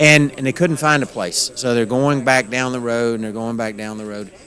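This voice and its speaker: Against noticeable background noise, a man with an Appalachian accent speaks at a fairly quick pace with ordinary pitch variation. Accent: Appalachian twang. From Western North Carolina, Appalachian mountains. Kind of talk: interview. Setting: conference.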